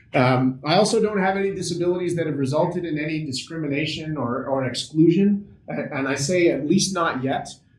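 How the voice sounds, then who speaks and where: A man with a Canadian accent speaks fairly quickly at a fairly high pitch with ordinary pitch variation and hardly any pauses, amid noticeable background noise and audible room echo. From Canada, Ottawa. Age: 40s. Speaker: accessibility consultant. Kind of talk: workshop presentation.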